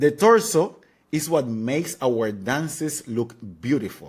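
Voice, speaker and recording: A man speaks at a very slow pace, his pitch making very wide swings. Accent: Spanish. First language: Spanish. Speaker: dance teacher. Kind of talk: tutorial.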